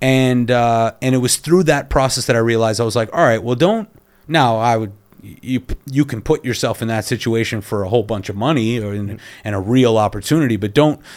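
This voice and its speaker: Using an ordinary speaking voice, a man of medium pitch talks at a fairly quick pace with ordinary pitch variation. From Canada. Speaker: film director. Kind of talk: casual chat.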